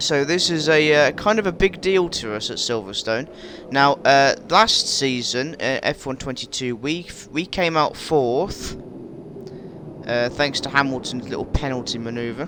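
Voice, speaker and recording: Fairly high male voice with lively intonation at a fairly slow pace, over noticeable background noise. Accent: West Midlands. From West Midlands, England. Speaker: gaming YouTuber. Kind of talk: gameplay commentary. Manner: animated.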